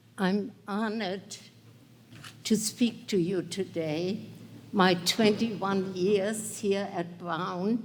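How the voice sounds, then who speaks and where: Speaking at a very slow pace, a woman with a German accent keeps a medium pitch and fairly even intonation. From northern Germany. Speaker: Holocaust survivor and keynote speaker. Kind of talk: keynote speech.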